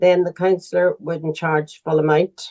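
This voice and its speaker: A woman with a Northern Irish accent and a flat, monotone delivery. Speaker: charity founder. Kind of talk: interview answer.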